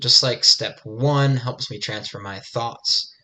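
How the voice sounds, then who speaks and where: A man's bright, sharp tone, fairly slow and fairly even in intonation. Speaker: self-improvement vlogger. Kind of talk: unscripted monologue reflecting on essay practice. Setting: video recorded. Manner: halting, many fillers and repeated words.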